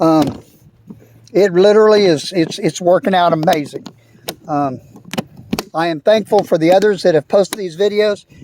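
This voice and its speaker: A man with a Texan accent and high pitch speaks in a relaxed tone with long, frequent pauses. Noticeable background noise sits behind him. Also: ordinary pitch variation, moderate pace. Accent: Texan Southern US. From US South, Texas (San Antonio). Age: 60s. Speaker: fishing video maker. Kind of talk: casual tutorial walkthrough. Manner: relaxed, hesitant with many fillers.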